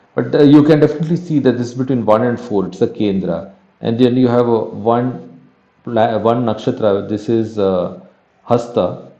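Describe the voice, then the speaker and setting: Medium-pitched speech from a man with a dark, mellow tone and ordinary pitch variation, at a moderate pace with audible room echo. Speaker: astrology teacher. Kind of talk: lecture. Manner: halting.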